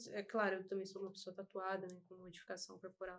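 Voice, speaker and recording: A woman speaks at a very fast pace. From Brazil. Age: 20s. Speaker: body piercer. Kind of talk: casual interview chat.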